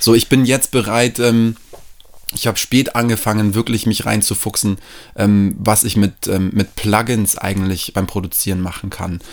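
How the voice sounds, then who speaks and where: A man's fairly low voice, fairly even in intonation, at a moderate pace. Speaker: musician and music teacher. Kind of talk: casual chat. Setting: at host's home, on the couch.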